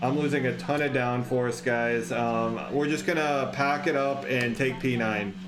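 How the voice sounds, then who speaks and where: A man speaks at a medium pitch and fairly slow pace, with ordinary pitch variation, very even loudness and hardly any pauses. Noticeable background noise and audible room echo are present. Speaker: gaming youtuber. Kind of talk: live gameplay commentary. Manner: animated.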